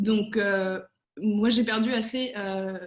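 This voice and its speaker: A somewhat breathy woman's voice of medium pitch, very slow, with fairly even intonation. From Spain and France. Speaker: political adviser. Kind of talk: online panel debate. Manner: hesitant, many fillers.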